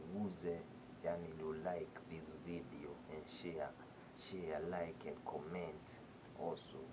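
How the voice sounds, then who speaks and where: A man's very slow speech with noticeable background noise. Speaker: vlogger. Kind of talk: casual vlog chat, moral talk and outro in Swahili with English. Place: home room. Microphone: phone near.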